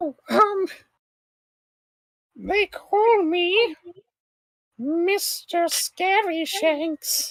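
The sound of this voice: In a put-on character voice with extremely high pitch, the speaker sounds squeaky and talks at a very slow pace with long, frequent pauses.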